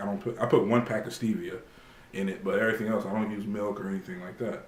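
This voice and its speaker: Audible echo fills the room around a man with a fairly low pitch. He talks at a fairly quick pace with ordinary pitch variation. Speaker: fitness vlogger. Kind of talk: casual vlog monologue to camera. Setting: at home. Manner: halting, many fillers.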